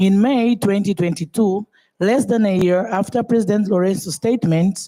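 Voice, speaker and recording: A woman with a Portuguese accent speaks at a medium pitch and a moderate pace, with ordinary pitch variation. Her tone is dark and mellow, her loudness very even, and the sound dry and close with no echo. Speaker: government official. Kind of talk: conference speech. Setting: conference panel. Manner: formal.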